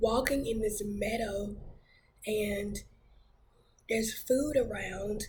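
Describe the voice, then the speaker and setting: Very slow, fairly even speech with vocal fry and audible room echo. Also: woman. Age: 30s. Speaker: church minister sharing testimony. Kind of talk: testimony. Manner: hesitant, many fillers.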